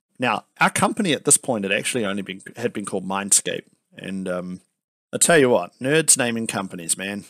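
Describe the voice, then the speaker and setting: A man with a New Zealand accent, fairly low-pitched, lively in intonation, the sound dry and close with no echo. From New Zealand, Palmerston North. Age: 30s. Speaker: software company founder and CEO. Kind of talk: interview.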